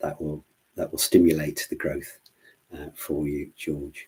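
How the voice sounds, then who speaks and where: In an English Midlands accent, a man speaks at a moderate pace. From English Midlands (Worcestershire). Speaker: plant doctor, gardening expert. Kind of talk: live Q&A stream. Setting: live online stream. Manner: hesitant, many fillers and repetitions.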